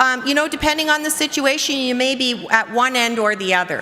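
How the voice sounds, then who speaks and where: Noticeable background noise sits behind a woman's high-pitched voice. She speaks in a raised, projected voice. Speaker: conference workshop presenter. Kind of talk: conference presentation to audience. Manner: fast.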